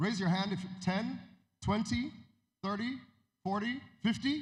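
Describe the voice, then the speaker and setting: Audible room echo surrounds a man whose voice is somewhat breathy. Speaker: music industry executive. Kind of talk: conference talk. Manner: halting.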